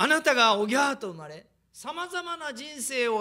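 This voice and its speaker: A man's raised, projected voice, bright and sharp in tone and animated, at a moderate pace against a quiet background. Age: 50s. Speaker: preacher. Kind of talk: sermon. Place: hall. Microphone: podium.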